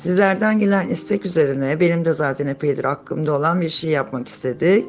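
A woman with a very deep, low pitch and lively intonation at a very fast pace, with music in the background. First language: Turkish. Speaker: English teacher. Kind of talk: lesson introduction to camera.

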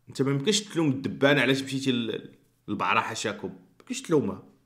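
Against a quiet background, a man with a Moroccan accent talks at a fairly quick pace. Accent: Moroccan Arabic (Darija). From Morocco. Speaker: YouTuber. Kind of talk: commentary vlog. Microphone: studio mic.

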